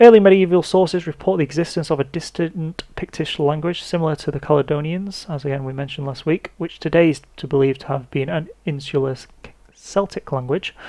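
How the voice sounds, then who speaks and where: Someone with an English accent talks at a fairly quick pace. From England. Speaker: history podcaster. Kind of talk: scripted narration. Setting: podcast recording. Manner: halting.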